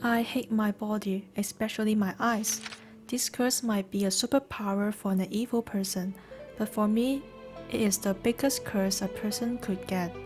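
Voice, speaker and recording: A woman's fairly high voice with fairly even intonation, moderate pace and very even loudness, music playing in the background. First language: not English. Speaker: gaming video creator. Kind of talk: first-person character backstory narration.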